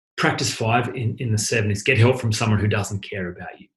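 A man's voice sits fairly low and somewhat breathy, delivered in a monotone, flat intonation. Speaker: podcast host and life coach. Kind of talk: solo monologue. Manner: fast.

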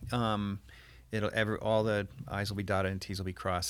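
An unremarkable speaking voice with an American accent moves at a fairly quick pace over a very clean recording with a silent background. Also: man. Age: 40s. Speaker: painter. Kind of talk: interview.

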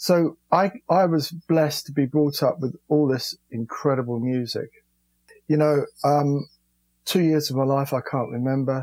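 In a London accent, a man with a fairly high voice speaks at a fairly slow pace with fairly even intonation, in a dry, close sound with no echo. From London, England. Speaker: rock guitarist. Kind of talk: interview. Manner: halting.

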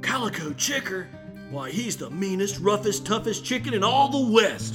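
A put-on character voice at a middle pitch and moderate pace, with clear music in the background. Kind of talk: comic children's western play. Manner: cheerful, folksy, hammy.

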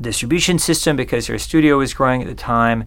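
Speaking fairly quickly with an American accent, a man has an unremarkable speaking voice and fairly even intonation. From Southern California. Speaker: music video director. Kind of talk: interview.

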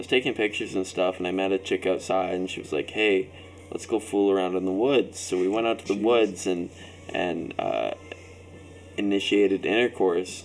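Music plays in the background as a man talks in a fairly low pitch with fairly even intonation. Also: moderate pace. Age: 20s. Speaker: podcast guest. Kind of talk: casual chat. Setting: drinking session with friends.

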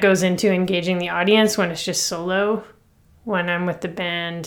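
In a Canadian accent, a woman with a plain, everyday voice speaks at a medium pitch and a fairly slow pace, her intonation fairly even. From Toronto, Canada. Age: 30s. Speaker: songwriter. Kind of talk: interview. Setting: at home, remote interview.

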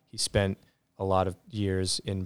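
A man speaks with an American accent and a very deep, low pitch. The recording is very clean, with a silent background. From New Jersey. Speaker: jazz pianist. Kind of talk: casual interview. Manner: halting, many fillers.

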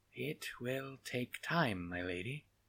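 Delivered in a put-on character voice, the speech is raspy and very slow. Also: man. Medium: audio drama. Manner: falsely polite, honeyed.

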